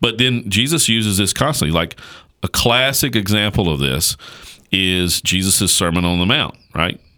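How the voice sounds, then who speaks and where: A man's bright, sharp, fairly low voice at a moderate pace, with very even loudness. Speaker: pastor. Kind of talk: casual chat about theology. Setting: studio.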